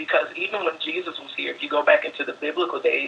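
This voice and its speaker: A man with an American accent talks while noticeable background noise sits behind him. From US South (Alabama). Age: 20s. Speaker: dance student. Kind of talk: interview monologue.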